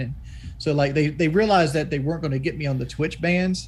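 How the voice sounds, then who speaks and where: With a Southern US accent, a man talks at a very fast pace amid audible room echo. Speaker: YouTuber and streamer. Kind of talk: podcast interview.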